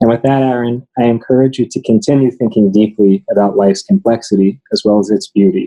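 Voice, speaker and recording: Here is a man with a plain, everyday voice at a medium pitch. His intonation is lively, his loudness very even, and he moves at a fairly quick pace with hardly any pauses. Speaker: teacher. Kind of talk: prepared tribute speech.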